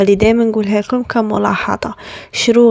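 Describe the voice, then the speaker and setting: At a moderate pace and a fairly high pitch, a woman talks with an Algerian accent, the sound dry and close with no echo but with noticeable background noise. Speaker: bride-to-be lifestyle vlogger. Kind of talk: tutorial. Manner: casual, with French words mixed in; halting, frequent restarts.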